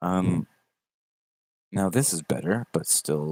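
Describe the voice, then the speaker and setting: A man's very deep, low voice, fairly slow and with lively intonation, in a dry, close sound with no echo. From Canada. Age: 20s. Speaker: YouTuber opening trading cards. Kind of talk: casual live stream. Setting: livestream. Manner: animated.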